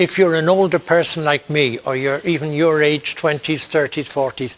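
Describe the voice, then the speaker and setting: A man with an Irish accent talks at a moderate pace in a fairly high pitch, with ordinary pitch variation. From Ireland. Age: 60s. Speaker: priest and university chaplain. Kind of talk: interview.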